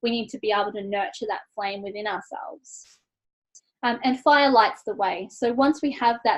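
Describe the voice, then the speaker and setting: A woman speaking with an Australian accent shows ordinary pitch variation. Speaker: self-care coach. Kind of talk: online workshop talk. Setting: online workshop.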